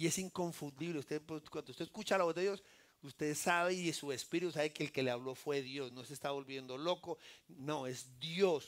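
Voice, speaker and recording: Recorded very cleanly against a silent background, a man speaks at a fairly high pitch with ordinary pitch variation. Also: moderate pace. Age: 60s. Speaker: lay preacher. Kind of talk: sermon. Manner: animated.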